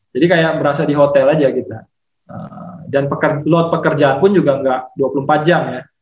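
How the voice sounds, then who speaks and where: Fairly high male voice with fairly even intonation and audible room echo. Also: moderate pace, big swings in loudness. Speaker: petroleum geologist. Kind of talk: casual interview chat.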